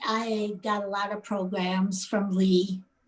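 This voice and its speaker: A woman's fairly high voice comes across somewhat breathy. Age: 70s. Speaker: qigong student. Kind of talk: testimony.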